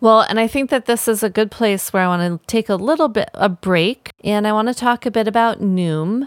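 In a very clean recording with a silent background and a dry, close sound with no echo, a woman with a normal speaking voice talks at a moderate pace at fairly high pitch, with ordinary pitch variation, very even loudness and hardly any pauses. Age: 40s. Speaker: herbalist and podcast host. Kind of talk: casual solo podcast talk.

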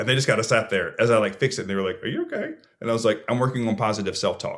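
An energetic, animated man with an American accent on a very clean recording with a silent background. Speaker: speaker and mental health advocate. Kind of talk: casual interview.

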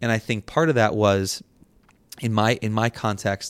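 Recorded very cleanly over a silent background, a man speaks in a monotone, flat intonation. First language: Portuguese and Spanish. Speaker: poet and author. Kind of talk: interview with poetry performance. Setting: festival interview in Dubai.

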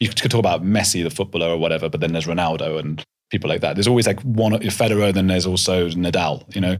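Very fast and very deep, a man talks with ordinary pitch variation in a southern English accent. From England, North London. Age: 30s. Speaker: podcaster and documentary filmmaker. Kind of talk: interview conversation. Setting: in-person recording.

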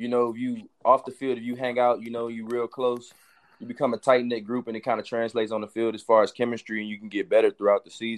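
In a New Orleans accent, a man talks at a very fast pace and medium pitch, with monotone, flat intonation and big swings in loudness. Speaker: college football player. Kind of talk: casual interview.

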